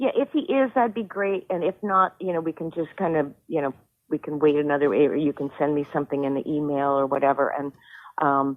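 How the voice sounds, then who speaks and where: Her very deep, low voice moves at a fairly quick pace, and the woman's pitch varies in an ordinary way. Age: 60s. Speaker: home seller. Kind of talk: phone call conversation.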